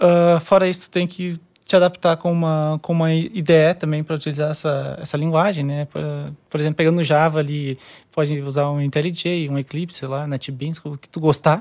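With monotone, flat intonation, a man talks at a moderate pace in a fairly high pitch. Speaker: QA engineer. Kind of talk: casual chat.

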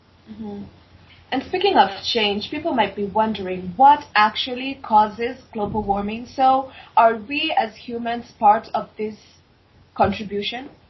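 Over noticeable background noise, a woman speaks fairly slowly at a fairly high pitch, with ordinary pitch variation and big swings in loudness. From equatorial-climate country. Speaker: podcast host. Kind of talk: interview. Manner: upbeat.

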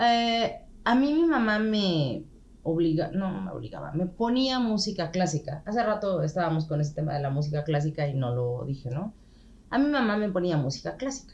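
In a Mexican accent, a woman speaks at a medium pitch and a moderate pace, sounding somewhat breathy. Her pitch swings very widely. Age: 40s. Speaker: podcast guest. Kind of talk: casual chat.

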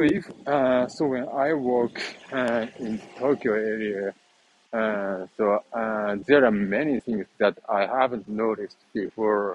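A man speaks with a Japanese accent at a very slow pace, medium pitch and ordinary pitch variation. The sound is dry and close with no echo, and background noise is noticeable. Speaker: vlogger. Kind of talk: walking vlog. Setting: outdoors, walking. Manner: halting, many fillers.

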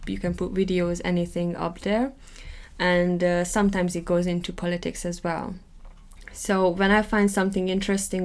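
With a Hungarian accent, a woman talks at a moderate pace and medium pitch in a monotone, flat intonation. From Hungary. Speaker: podcast co-host. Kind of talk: casual chat.

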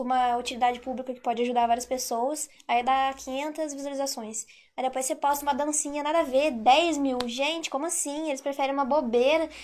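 A woman talks at a fairly quick pace in a high pitch, her intonation fairly even. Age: 20s. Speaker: content creator. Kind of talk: casual chat.

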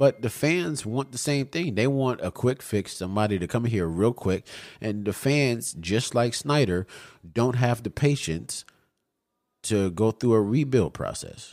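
A man with a normal speaking voice talks at a fairly slow pace, medium in pitch with lively intonation. The recording is very clean, with a silent background. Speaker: podcast co-host. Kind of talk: angry rant, fired-up sports talk.

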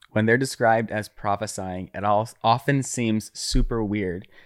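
Speaking at a fairly slow pace, a man has a medium pitch, ordinary pitch variation and an unremarkable speaking voice, on a very clean recording with a silent background. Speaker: guest friend. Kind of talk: casual conversational interview.

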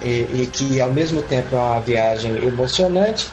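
Moderate pace and ordinary pitch variation from a man, with music in the background. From Minas Gerais, Brazil (Caratinga). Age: 30s. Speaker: fantasy author. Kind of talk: casual interview.

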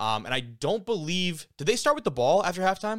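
An animated tone with lively intonation, in a very clean recording over a silent background. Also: man. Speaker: podcast host. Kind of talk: sports commentary and analysis, with a ranting segment. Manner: animated, opinionated, casual; fast, conversational, swears freely.

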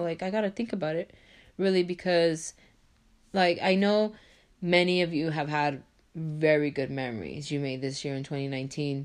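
A woman with an unremarkable speaking voice, fairly low in pitch, with lively intonation at a moderate pace against a quiet background. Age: 20s. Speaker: podcast host, college student. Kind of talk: solo podcast monologue. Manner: casual, filler-heavy.

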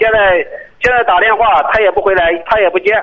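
Through noticeable background noise, a man talks at a very fast pace with fairly even intonation. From Tai'an, Shandong. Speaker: parent caller. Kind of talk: phone-in advice call.

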